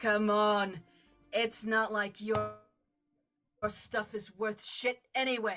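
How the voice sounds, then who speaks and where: A woman uses a gruff put-on character voice at medium pitch, flat and monotone, with music in the background. She speaks very slowly, with long, frequent pauses. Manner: dismissive, harsh.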